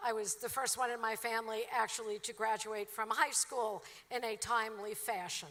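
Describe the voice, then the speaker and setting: Bright, sharp, fairly high-pitched woman's voice in an American accent, flat and monotone. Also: moderate pace. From Brooklyn, New York. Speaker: commencement speaker, professor. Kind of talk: commencement speech. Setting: stage with audience.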